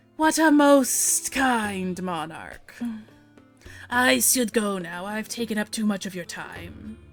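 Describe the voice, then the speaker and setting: Doing a put-on character voice, a woman speaks at a medium pitch and a fairly slow pace as faint music plays behind her. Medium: actual play. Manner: formal, courteous.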